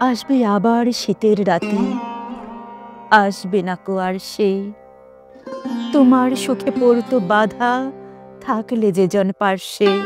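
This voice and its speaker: Music plays in the background while this woman talks with fairly even intonation. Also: medium pitch for a woman. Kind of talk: poetry reading. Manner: sorrowful, emotional.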